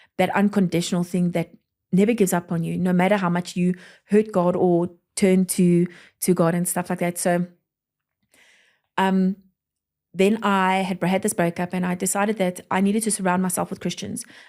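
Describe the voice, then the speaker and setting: A woman speaks with a medium pitch and a dark, mellow tone, her intonation monotone and flat. She keeps a moderate pace with long, frequent pauses, and the recording is very clean with a silent background. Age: 30s. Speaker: pastor. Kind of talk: testimony. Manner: rambling, self-correcting.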